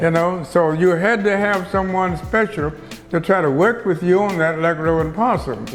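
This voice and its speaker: With music in the background, a man with an American accent speaks at a moderate pace. His pitch is high and his loudness very even. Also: ordinary pitch variation. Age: 80s+. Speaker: pastor. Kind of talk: interview answer.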